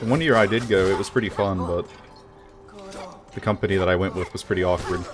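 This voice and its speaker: Despite long, frequent pauses, a man with a fairly low voice speaks at a very fast pace over noticeable background noise. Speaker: video game streamer. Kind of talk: gameplay livestream chat. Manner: monotone.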